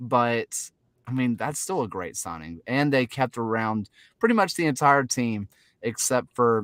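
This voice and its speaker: Recorded very cleanly against a silent background, with a dry, close sound and no echo, a man in a Southern US accent talks at a fairly slow pace and medium pitch with lively intonation. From US South. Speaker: soccer podcast host. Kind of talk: casual chat. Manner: animated.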